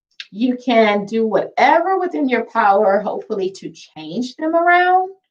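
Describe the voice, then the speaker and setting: Soft-spoken, a woman talks at a fairly slow pace with very wide pitch swings. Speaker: housing voucher program director. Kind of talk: webinar presentation. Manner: direct.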